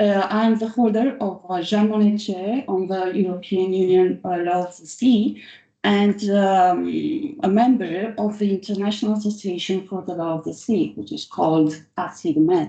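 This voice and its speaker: A woman's dark, mellow, medium-pitched voice in a Romanian accent, at a moderate pace with ordinary pitch variation. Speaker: law professor. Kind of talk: conference speech. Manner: halting.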